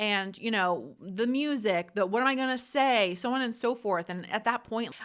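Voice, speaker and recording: In a bright, sharp tone, a woman speaks with an American accent and ordinary pitch variation. The recording is very clean, with a silent background. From New Jersey. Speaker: podcast host. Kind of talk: casual solo podcast monologue. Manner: fast.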